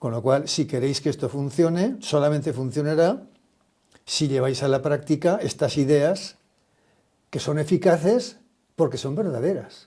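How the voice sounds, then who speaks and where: A man with a fairly high pitch and a dark, mellow, somewhat breathy tone speaks at a fairly slow pace with long, frequent pauses and ordinary pitch variation. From Spain, Aragon. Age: 70s. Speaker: social entrepreneur, retired company founder. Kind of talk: interview conversation.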